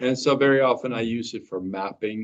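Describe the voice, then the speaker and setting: Ordinary pitch variation marks a man's voice at a medium pitch. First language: Norwegian. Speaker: presenter at a stamp library talk. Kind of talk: presentation.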